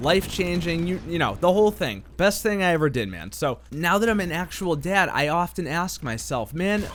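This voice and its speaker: A man with a high pitch, animated tone, and ordinary pitch variation at a moderate pace, with music in the background. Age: 20s. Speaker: gaming commentary YouTuber. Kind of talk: casual commentary.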